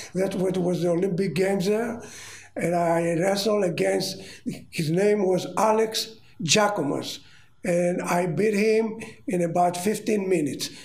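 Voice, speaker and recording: A high-pitched man with a Greek accent speaks at a fairly slow pace, his intonation fairly even and his loudness very even, amid noticeable background noise. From Rhodes, Greece. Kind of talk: elder telling life story in interview. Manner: slow, halting, reminiscing.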